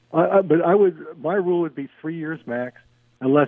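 In an American accent, the speaker uses an unremarkable speaking voice at a moderate pace with ordinary pitch variation. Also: man. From Philadelphia, US. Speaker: sports radio caller. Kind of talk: casual call-in chat. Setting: phone call.

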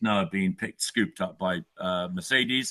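A man with an English accent, very deep and low in pitch, his intonation fairly even. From England. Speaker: author. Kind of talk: interview.

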